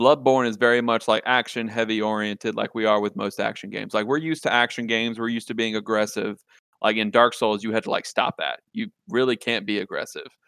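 In a Louisiana accent, a man talks at a very fast pace with hardly any pauses, medium pitch, fairly even intonation and a bright, sharp tone, recorded dry and close with no echo. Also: quiet background. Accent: Southern US (Louisiana). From Louisiana, rural south. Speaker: video game podcast guest. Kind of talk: casual chat.

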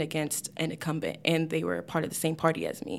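A woman with an American accent, fairly low pitch and vocal fry, at a fairly quick pace, on a very clean recording with a silent background. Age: 20s. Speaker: politician. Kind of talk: casual chat.

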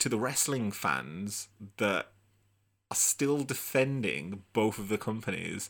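A man speaks at a very slow pace in a fairly low voice with ordinary pitch variation. The recording is very clean, with a silent background. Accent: Brummie. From Birmingham, England. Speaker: wrestling podcast host. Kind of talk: casual solo commentary livestream. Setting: live video stream.

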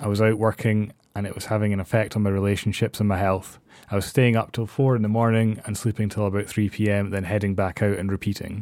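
Speaking in a Scottish accent, a man rattles along at a very fast pace. His pitch is fairly low and his intonation monotone and flat. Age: 30s. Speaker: podcast host. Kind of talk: personal monologue.

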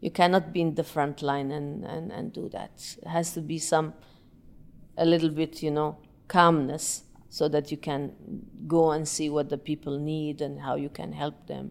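A woman with an Arabic accent speaks at a moderate pace in a very deep, low pitch. Her intonation is monotone and flat, on a very clean recording with a silent background. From Yemen. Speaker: breathing and meditation teacher. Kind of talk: interview.

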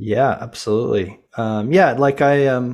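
A man speaks with a General American accent. His intonation stays fairly even. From Colorado. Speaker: fitness app CEO and former elite cyclist. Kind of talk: casual interview. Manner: halting, many fillers.

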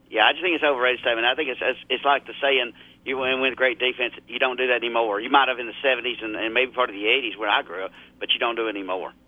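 A man races along at a very fast pace, his medium pitch held to fairly even intonation. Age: 50s. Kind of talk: casual chat.

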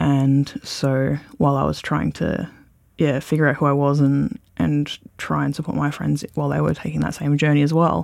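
This man speaks with an Australian accent. His pace is moderate. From Australia, Bendigo (Victoria). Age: 20s. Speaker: podcast interviewee. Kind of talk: personal interview. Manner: halting.

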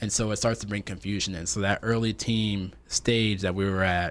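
An unremarkable speaking voice with an American accent, ordinary pitch variation and a moderate pace. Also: man. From upstate New York, Rochester. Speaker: tech entrepreneur, engineer. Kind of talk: interview.

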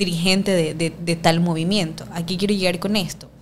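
A woman with a coastal Ecuadorian accent speaks at a fairly low pitch. There is audible room echo and noticeable background noise. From Ecuador, Guayaquil. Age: 20s. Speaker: sociology student and political activist. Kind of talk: casual interview conversation.

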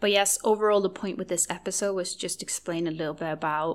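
A woman with a Norwegian accent speaks in a monotone, flat intonation on a very clean recording with a silent background. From Norway. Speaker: podcast host, eating disorder recovery advocate. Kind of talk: solo podcast monologue.

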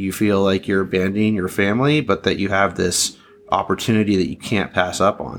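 Speaking at a fairly quick pace, a man with a fairly low pitch and an American accent uses ordinary pitch variation. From Southern California. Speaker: sales consultant and snow business coach. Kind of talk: interview.

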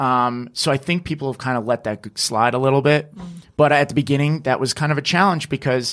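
Here a man has a normal speaking voice with an American accent. He talks at a fairly quick pace, pitched fairly high, with ordinary pitch variation. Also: very clean recording, silent background. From northern New Jersey. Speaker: social media creator, former producer. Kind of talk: casual interview. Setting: studio video podcast.

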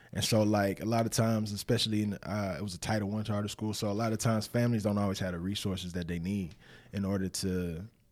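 On a very clean recording with a silent background, a man with an American accent talks at a fairly quick pace in a fairly low pitch. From Winston-Salem, North Carolina, US South. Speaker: former pro football player, nonprofit director. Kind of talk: casual interview.

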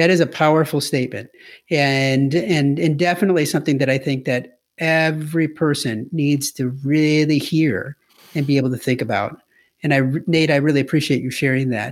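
With an American accent, a man speaks in a plain, everyday voice at a moderate pace. His pitch is fairly high and his intonation fairly even, on a very clean recording with a silent background. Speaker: podcast host. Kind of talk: casual interview.

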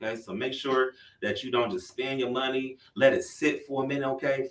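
This is a plain, everyday voice with an American accent. It moves at a fairly quick pace. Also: man. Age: 30s. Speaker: podcast host. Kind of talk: news reading; casual chat.

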